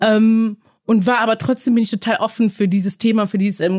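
On a very clean recording with a silent background and a dry, close sound with no echo, a woman speaks somewhat breathily at a moderate pace and a fairly high pitch, with ordinary pitch variation. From Germany and Belgium. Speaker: aid organisation staff member. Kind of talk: interview. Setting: office studio.

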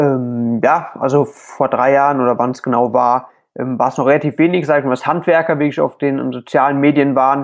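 In a plain, everyday voice, a man speaks fairly quickly at a fairly high pitch with fairly even intonation against a quiet background. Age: 20s. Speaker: plasterer and social media creator. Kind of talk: interview.

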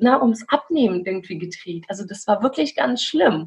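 A woman with a non-native accent, somewhat breathy and fairly high in pitch, at a moderate pace. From Belarus. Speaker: coach and podcaster. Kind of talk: interview.

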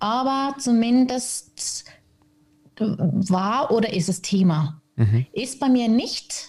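Speaking at a very slow pace, a woman uses lively intonation in a somewhat breathy, fairly high voice. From Switzerland, Zürich. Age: 30s. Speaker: podcast guest, mother in recovery from alcohol. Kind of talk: casual interview chat.

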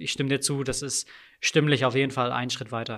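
A man with a fairly high voice is heard on a very clean recording with a silent background. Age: 30s. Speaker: sports commentator. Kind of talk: interview. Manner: trained, diaphragm-supported delivery.

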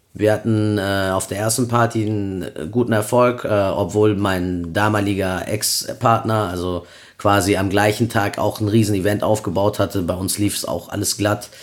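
Speaking fairly slowly in an unremarkable speaking voice, a man keeps a fairly low pitch and fairly even intonation. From Cologne, Germany. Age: 30s. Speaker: event promoter. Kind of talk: casual chat.

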